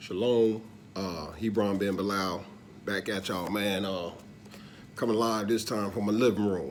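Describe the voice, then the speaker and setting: Audible room echo surrounds a man with a fairly low pitch. He talks at a moderate pace with fairly even intonation. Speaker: religious video blogger. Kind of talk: casual monologue. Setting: living room. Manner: loud.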